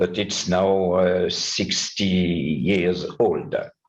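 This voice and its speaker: A man's very deep, low voice at a very slow pace, with audible room echo. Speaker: numismatist, conference speaker. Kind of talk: conference talk. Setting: conference with audience. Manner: halting, many hesitations.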